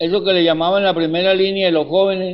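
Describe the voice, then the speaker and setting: A man speaks at a fairly quick pace. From Colombia, Barrancabermeja. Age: 70s. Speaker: university physics professor and community educator. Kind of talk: casual interview conversation.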